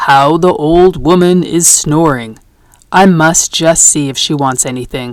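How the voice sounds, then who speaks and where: A put-on character voice at a moderate pace, with ordinary pitch variation. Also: woman, very deep, low pitch for a woman. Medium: read story. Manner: archaic thee and thou speech.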